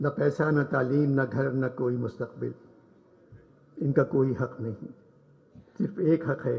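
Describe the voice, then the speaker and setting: A man's medium-pitched voice with vocal fry and ordinary pitch variation. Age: 80s+. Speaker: humorist writer. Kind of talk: public speech at literature festival.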